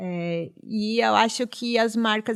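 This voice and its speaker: Recorded very cleanly against a silent background, a woman speaks at a fairly high pitch with fairly even intonation. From Rio Grande do Sul, Brazil (Vale dos Sinos). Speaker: professor and foreign trade consultant. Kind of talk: interview.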